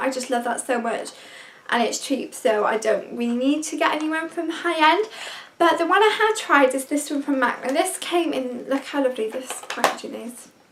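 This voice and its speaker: Background noise is noticeable as a woman speaks at a moderate pace. Her voice is high-pitched, with lively intonation. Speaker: beauty vlogger. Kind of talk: product review vlog. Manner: enthusiastic.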